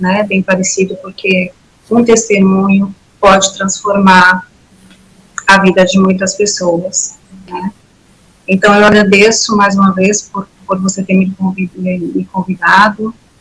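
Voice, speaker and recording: Over noticeable background noise, a woman speaks at medium pitch and a fairly slow pace. Her intonation is monotone and flat, with long, frequent pauses. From São Paulo city, Brazil. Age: 60s. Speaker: former church member giving testimony. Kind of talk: testimony.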